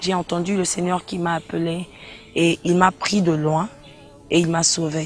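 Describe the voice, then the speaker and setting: Speaking at a fairly slow pace with long, frequent pauses, a woman delivers flat, monotone intonation at a fairly low pitch over noticeable background noise. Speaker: gospel singer. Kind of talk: interview. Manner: hesitant, repeats words.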